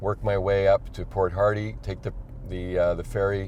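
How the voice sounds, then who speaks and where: At a fairly quick pace, a man with a Montreal accent speaks at a fairly low pitch with fairly even intonation. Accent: Canadian English, Montreal. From Quebec, Montreal. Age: 60s. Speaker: electric car owner on a cross-country drive. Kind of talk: interview. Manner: halting.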